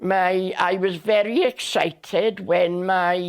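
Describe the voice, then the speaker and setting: With a South Wales accent, a woman speaks at a very slow pace and medium pitch with ordinary variation, in a very clean recording with a silent background. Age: 90s. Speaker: elderly interviewee recounting her life. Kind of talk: oral history interview. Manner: halting with many fillers.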